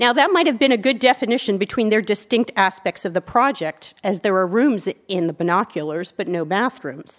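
A woman's medium-pitched, moderately paced voice, an ordinary speaking voice. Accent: American. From US. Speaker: architecture writer and advisor. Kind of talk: lecture. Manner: formal.

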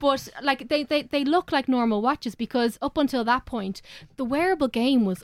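In an Irish accent, the speaker goes at a fairly quick pace with ordinary pitch variation, in a dry, close sound with no echo and a very clean recording with a silent background. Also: woman. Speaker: tech correspondent. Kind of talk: casual panel chat. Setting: studio.

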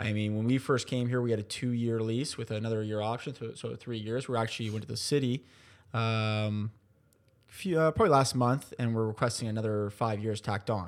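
A man's medium-pitched voice in an Ontario accent, at a fairly quick pace with fairly even intonation, on a very clean recording with a silent background. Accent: Canadian (Ontario). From Ontario, Canada. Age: 20s. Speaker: sports team owner. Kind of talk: interview conversation.

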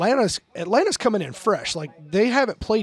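Noticeable background noise sits behind a man speaking very fast. His pitch is high and swings very widely. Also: dry, close sound with no echo. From Alabama. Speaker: podcast host and drummer. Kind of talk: casual chat; interview intro. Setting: at a house party during a game.

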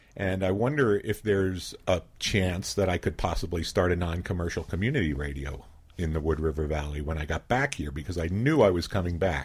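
A man speaks with a very deep, low pitch and lively intonation, somewhat breathy. The recording is very clean, with a silent background. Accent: American. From Philadelphia, US. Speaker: community radio station founder. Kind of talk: radio interview. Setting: radio studio.

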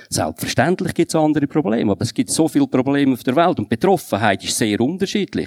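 Very wide pitch swings mark this man's very fast speech, recorded with a dry, close sound and no echo. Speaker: politician. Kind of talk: panel debate.

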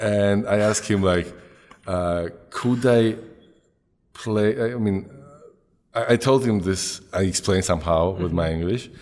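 A man with a Georgian accent speaks at a fairly slow pace, with long, frequent pauses. His pitch is very deep and low, with ordinary variation. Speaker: podcast host, professor. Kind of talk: casual interview conversation.

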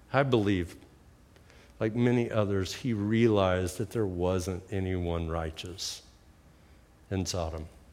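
With an American accent, a man speaks in a very deep, low voice at a fairly slow pace, with ordinary pitch variation. He leaves long, frequent pauses, and audible room echo surrounds him. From Oklahoma. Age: 60s. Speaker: guest preacher. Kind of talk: sermon.

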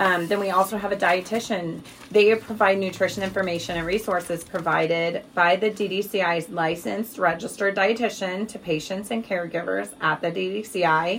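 A woman with an American accent and a normal speaking voice, at a medium pitch, fairly even intonation and moderate pace. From Missouri, US Midwest. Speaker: tumor registrar. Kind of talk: interview.

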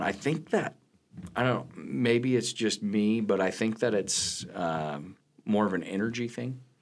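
A plain, everyday voice in an American accent at a fairly slow pace. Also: man. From western Nebraska (Hemingford). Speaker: college math instructor. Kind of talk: interview.

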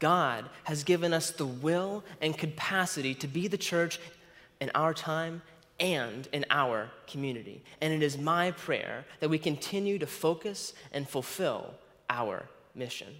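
At a fairly slow pace and with few pauses, a man with a fairly high pitch speaks with lively intonation. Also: fairly bright tone.

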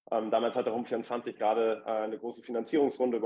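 A man is speaking. His pace is fairly quick. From Hamburg, northern Germany. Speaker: startup founder and lawyer. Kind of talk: interview. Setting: remote call into live podcast audience. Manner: frequent fillers (äh, ähm).

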